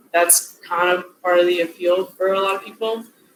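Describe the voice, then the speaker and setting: Here a woman is speaking. Her pace is moderate. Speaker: product owner giving a lecture. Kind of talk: lecture.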